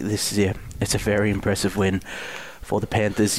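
Speaking at a fairly quick pace, a man with an Australian accent has a fairly low pitch. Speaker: football analyst co-host. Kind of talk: sports podcast discussion.

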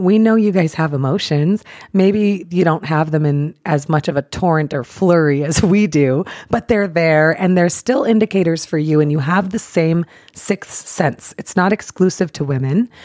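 A woman with a plain, everyday voice speaks at a moderate pace with a fairly low pitch and ordinary pitch variation, in a dry, close sound with no echo. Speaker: podcast co-host. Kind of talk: casual chat.

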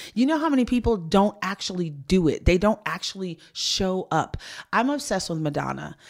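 A woman's medium-pitched, animated voice, very wide pitch swings, fairly quick pace. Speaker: founder of women's career advice platform. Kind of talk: interview conversation. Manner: extroverted, animated.

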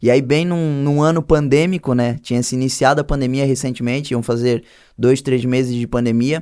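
A man's dark, mellow voice at a moderate pace with fairly even intonation, in a very clean recording with a silent background. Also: medium pitch for a man. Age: 20s. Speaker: clothing brand owner and church youth leader. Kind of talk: casual chat.

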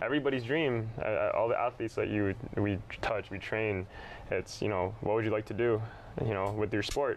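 In a Canadian accent, a man with a plain, everyday voice speaks at a moderate pace, his intonation fairly even and his loudness very even. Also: medium pitch for a man. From Brantford, Ontario, Canada. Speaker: basketball trainer and business owner. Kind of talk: casual interview.

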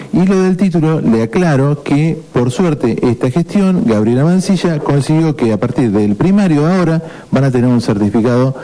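A man at a moderate pace, lively intonation and very even loudness, over noticeable background noise. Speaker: radio host. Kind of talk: casual chat.

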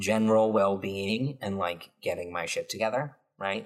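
In a normal speaking voice, a man talks at a fairly slow pace and fairly low pitch on a very clean recording with a silent background. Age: 20s. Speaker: podcast host. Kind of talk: casual chat. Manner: casual, filler-heavy.

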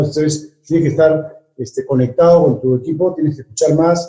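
Somewhat breathy, a man's fairly high-pitched voice has a dark, mellow tone. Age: 50s. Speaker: business executive. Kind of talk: interview. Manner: halting, many fillers and repetitions.

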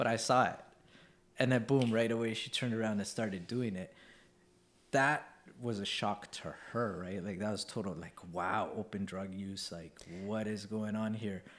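At a moderate pace, a man with a fairly low pitch and fairly even intonation speaks in a plain, everyday voice. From Canada, East Vancouver. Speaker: podcast host. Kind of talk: casual chat. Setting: on location outside the studio.

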